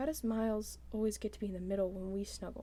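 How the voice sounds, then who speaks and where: Soft-spoken, a woman talks at a fairly quick pace. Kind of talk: ASMR book reading.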